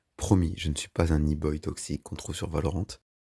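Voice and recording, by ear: In a put-on character voice, a man speaks very fast in a hoarse, very deep, low monotone, the sound dry and close with no echo.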